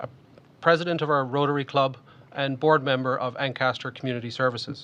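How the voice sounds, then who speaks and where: Speaking at a very fast pace, a man uses monotone, flat intonation with medium pitch and a bright, sharp tone. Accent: Irish. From Ireland. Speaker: municipal election candidate. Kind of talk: prepared opening statement in debate.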